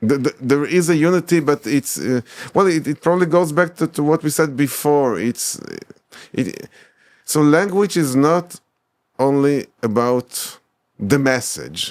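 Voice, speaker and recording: With an Israeli accent, a man speaks at a fairly slow pace and a fairly high pitch, with ordinary pitch variation, in a dry, close sound with no echo. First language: Hebrew. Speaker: academic, scholar of medieval Hebrew texts. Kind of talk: interview conversation. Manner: halting, many repetitions and fillers.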